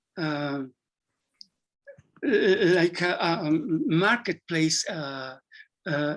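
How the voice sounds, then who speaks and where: A man is speaking. He has a Spanish accent. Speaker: psychology professor. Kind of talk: Q&A discussion. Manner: halting.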